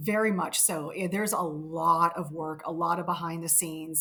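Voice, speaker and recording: Her voice fairly low, a woman with an American accent speaks with fairly even intonation. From West Virginia. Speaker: paranormal investigator, documentary storyteller. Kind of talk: interview answer.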